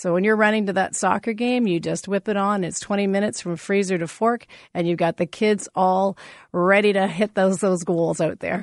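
A woman with a Canadian accent speaks at a medium pitch and a fairly quick pace, recorded dry and close with no echo against a quiet background. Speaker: pork farmer. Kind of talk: radio interview. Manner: fast talker; animated.

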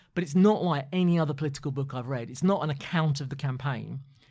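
On a very clean recording with a silent background, a man speaks with a southern English accent. His fairly high voice is somewhat breathy, with fairly even intonation. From London. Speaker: former political chief of staff. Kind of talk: interview.

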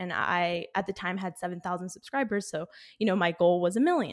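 A woman has an unremarkable speaking voice at medium pitch. Her intonation is fairly even, on a very clean recording with a silent background. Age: 20s. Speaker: YouTube creator. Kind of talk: interview. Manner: casual, filler-heavy.

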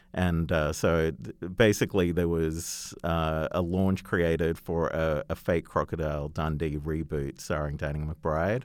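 A man speaks with a very deep, low pitch at a fairly slow pace, his intonation fairly even and hardly any pauses, on a very clean recording with a silent background. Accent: Australian. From Australia. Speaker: creative agency chief. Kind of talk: interview.

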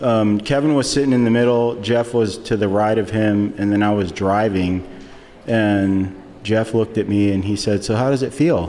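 With noticeable background noise behind him, a man speaks at a moderate pace in a fairly low pitch, his intonation fairly even and his loudness very even. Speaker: professional skateboarder. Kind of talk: live podcast interview. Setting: stage with audience.

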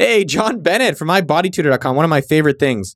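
Dry and close with no echo, a man with a Californian accent talks with lively intonation on a very clean recording with a silent background. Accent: Californian American English. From San Jose, California. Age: 30s. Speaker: podcast host, entrepreneur. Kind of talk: casual solo podcast, listener shout-outs. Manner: animated.

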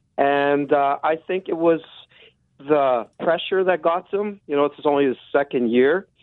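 A man speaks with a fairly high pitch and ordinary pitch variation. He has a plain, everyday voice. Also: moderate pace. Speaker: caller. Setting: phone call.

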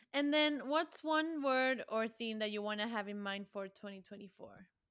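A woman with a Spanish accent speaks at a moderate pace with a fairly high pitch and ordinary pitch variation. Her tone is bright and sharp, in a very clean recording with a silent background. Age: 20s. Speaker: associate producer. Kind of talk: casual chat.

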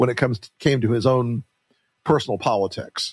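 A man talks at a fairly quick pace with a medium pitch, in an unremarkable speaking voice. The recording is very clean, with a silent background. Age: 60s. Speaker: podcast host, political strategist. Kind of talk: casual interview.

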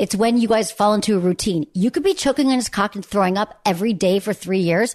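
A woman talks at a fairly quick pace in a normal speaking voice, her pitch in the medium range for a woman. Her pitch variation is ordinary, and the background is quiet. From Michigan. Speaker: sex therapist. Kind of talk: casual chat. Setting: host's home.

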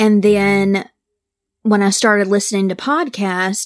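The speaker is a woman with an American accent. Her pace is very slow. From Mississippi, US South. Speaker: true crime podcaster. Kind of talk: case storytelling; casual interview chat.

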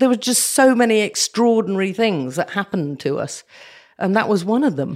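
A woman speaks with a British accent at a medium pitch, her voice swinging very widely up and down. She talks fairly quickly on a very clean recording with a silent background. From southern Africa (Zambia, Nigeria). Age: 60s. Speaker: war correspondent. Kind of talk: interview.

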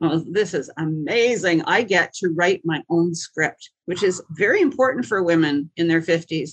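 A woman with an ordinary speaking voice and medium pitch talks at a moderate pace with lively intonation and hardly any pauses, the sound dry and close with no echo. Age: 60s. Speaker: singer-songwriter and comedian. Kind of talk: casual interview.

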